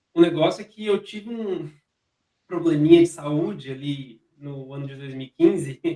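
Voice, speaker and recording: Fairly high for a man, this dark, mellow voice has ordinary pitch variation and big swings in loudness. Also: moderate pace. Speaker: information security officer. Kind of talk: interview conversation. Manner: halting, with repetitions.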